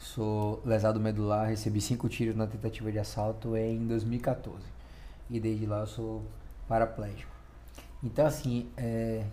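A dark, mellow, somewhat breathy voice moves at a fairly slow pace with long, frequent pauses. The intonation is monotone and flat, and room echo is audible. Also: man, fairly low pitch for a man. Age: 30s. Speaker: podcast co-host. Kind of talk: casual chat.

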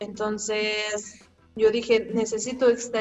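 Her fairly high voice holds a monotone, flat intonation throughout. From Mexico City. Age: 20s. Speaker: long-distance hiker. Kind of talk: casual interview.

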